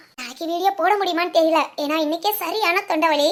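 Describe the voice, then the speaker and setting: Her pitch is extremely high, and this woman's voice shows ordinary pitch variation. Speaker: animation channel creator and voice artist. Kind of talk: casual address to viewers.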